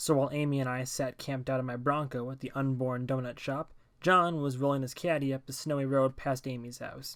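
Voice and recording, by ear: Someone is reading aloud in a natural voice, with fairly even intonation.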